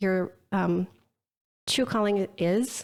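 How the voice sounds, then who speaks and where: In a very clean recording with a silent background, a woman talks at a medium pitch with ordinary pitch variation. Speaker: brand strategist. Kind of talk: podcast interview.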